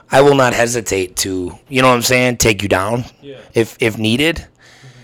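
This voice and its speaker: A man speaks in a normal speaking voice at a moderate pace. The recording is very clean, with a silent background. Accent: American. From Wisconsin (Burlington). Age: 30s. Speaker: podcast co-host. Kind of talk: casual chat.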